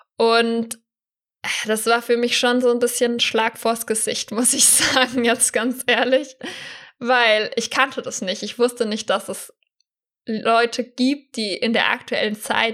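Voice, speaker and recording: Flat and monotone, the voice moves at a fairly slow pace in a very clean recording with a silent background. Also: woman. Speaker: church youth leader and deaconess. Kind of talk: casual chat.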